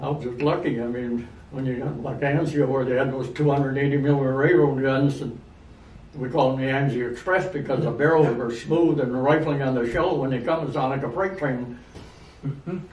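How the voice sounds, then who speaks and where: Background noise is noticeable. A man speaks fairly quickly with fairly even intonation. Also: medium pitch for a man. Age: 80s+. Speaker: war veteran. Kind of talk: interview answer.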